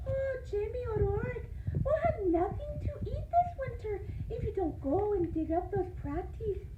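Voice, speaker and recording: Loud background noise fills the clip. A put-on character voice sits at an extremely high pitch. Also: moderate pace. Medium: read story.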